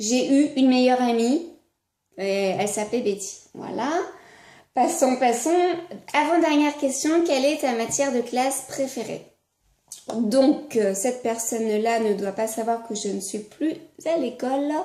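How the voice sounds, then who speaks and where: A woman with a high voice talks at a fairly slow pace with ordinary pitch variation and long, frequent pauses. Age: 20s. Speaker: vlogger. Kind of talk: casual chat. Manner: halting, many hesitations.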